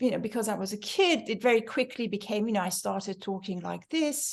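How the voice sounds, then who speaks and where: Ordinary pitch variation with an American accent. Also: woman. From Iran. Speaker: book club organizer. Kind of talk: casual group discussion. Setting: video call.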